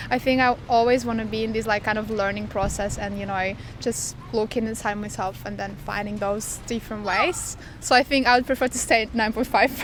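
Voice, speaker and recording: Music plays in the background. The speaker talks at a fairly quick pace with fairly even intonation. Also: woman, fairly high pitch for a woman. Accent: Lithuanian. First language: Lithuanian. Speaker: street interviewee. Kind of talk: street interview.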